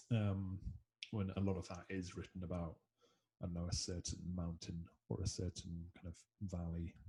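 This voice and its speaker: A man speaks in a very deep, low voice that is somewhat breathy, with a dark, mellow tone. His intonation is flat and monotone, broken by long, frequent pauses. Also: moderate pace. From Scotland. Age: 20s. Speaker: musician. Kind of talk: casual interview chat. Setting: video call.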